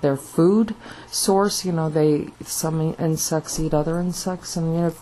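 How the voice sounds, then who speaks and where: There is noticeable background noise behind this woman. She speaks at a fairly low pitch and a fairly slow pace. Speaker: video blogger. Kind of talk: casual monologue. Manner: halting.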